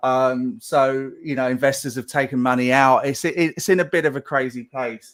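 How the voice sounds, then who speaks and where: On a very clean recording with a silent background, a man with an English accent talks at a moderate pace and medium pitch, his intonation fairly even and hardly any pauses. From England. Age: 50s. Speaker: game animation director. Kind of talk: live Q&A. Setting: live stream.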